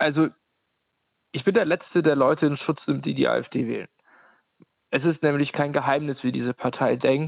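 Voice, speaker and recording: At a moderate pace, a man talks with fairly even intonation and a fairly high pitch. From Ukraine. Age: 30s. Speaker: anti-discrimination worker and activist. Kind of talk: interview.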